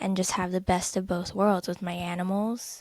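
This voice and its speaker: A woman's flat, monotone delivery in a Californian accent, on a very clean recording with a silent background. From Southern California, LA area. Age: 20s. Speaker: podcast co-host. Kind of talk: casual chat.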